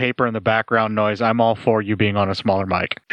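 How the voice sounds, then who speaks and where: A man speaks at a very fast pace. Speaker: podcast host. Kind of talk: casual banter, movie commentary. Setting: remote recording. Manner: joking, informal.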